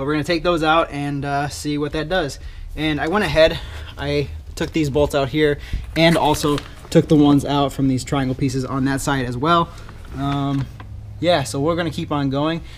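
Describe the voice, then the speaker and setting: Over light background noise, the voice moves at a fairly quick pace with monotone, flat intonation. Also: man. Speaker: car hobbyist vlogger. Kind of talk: tutorial vlog chat. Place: garage. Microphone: phone near.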